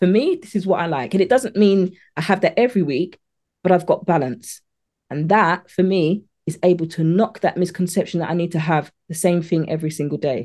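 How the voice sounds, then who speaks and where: A woman with a British accent talks fairly quickly in a fairly low pitch, her tone dark and mellow. Her pitch varies in an ordinary way against a quiet background. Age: 40s. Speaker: meal prep coach. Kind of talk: interview.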